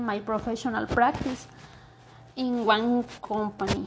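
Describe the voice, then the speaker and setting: Over noticeable background noise, a woman speaks at a very slow pace. Her pitch is high, with a Mexican accent. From Mexico. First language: Spanish. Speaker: university student. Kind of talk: language practice monologue. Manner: halting.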